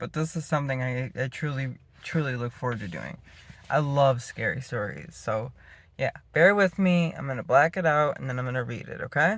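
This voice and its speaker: The speech is mumbled at a fairly quick pace. Pitch varies in an ordinary way. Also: man, fairly high pitch for a man. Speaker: storytelling channel host. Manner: mumbling; strong emphasis on A sounds.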